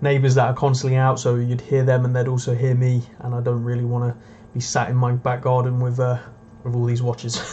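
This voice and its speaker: Over light background noise, the delivery is monotone and flat at a fairly quick pace. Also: man. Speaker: watch dealer livestream host. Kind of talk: casual livestream chat reading comments. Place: home room.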